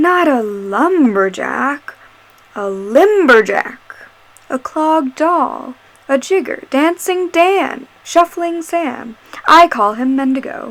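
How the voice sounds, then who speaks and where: A put-on character voice from a woman, high-pitched and very slow. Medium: read story. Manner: soothing, calm, with a menacing undertone.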